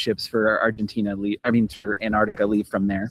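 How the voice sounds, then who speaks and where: Talking at a fairly quick pace, a man uses a medium pitch. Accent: American. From Pennsylvania, US. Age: 40s. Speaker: world traveler. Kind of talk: casual chat.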